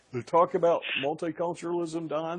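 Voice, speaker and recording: A moderate pace with an American accent. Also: man. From US Midwest, Indiana. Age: 60s. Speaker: radio host. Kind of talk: political talk radio interview. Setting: radio show.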